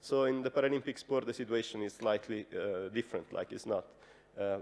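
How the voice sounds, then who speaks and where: A man speaks with an Italian accent. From Italy. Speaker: radio journalist. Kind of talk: conference presentation. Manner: hesitant, many fillers.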